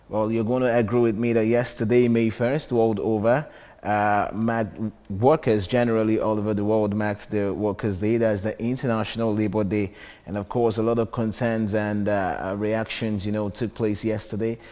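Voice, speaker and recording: A man's fairly low voice, dark and mellow, at a moderate pace with fairly even intonation. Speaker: TV show host. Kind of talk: TV show presenting. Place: studio. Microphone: lapel.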